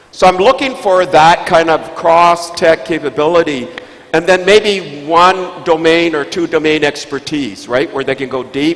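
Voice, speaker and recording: Over noticeable background noise, a man speaks at a moderate pace. His voice is fairly high, with ordinary pitch variation. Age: 70s. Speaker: investor and tech keynote speaker. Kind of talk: panel discussion answer. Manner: halting, repeats words.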